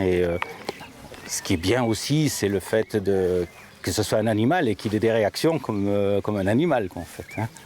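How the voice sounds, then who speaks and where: Over noticeable background noise, a man with a fairly low pitch and ordinary pitch variation talks at a fairly slow pace. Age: 60s. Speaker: amateur rider. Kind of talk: interview. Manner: hesitant, many fillers.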